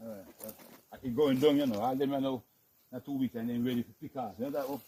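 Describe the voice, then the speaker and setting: A man talks at a very fast pace, his loudness swinging widely. His intonation stays fairly even. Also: medium pitch for a man. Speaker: farmer. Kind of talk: farm tour walkthrough.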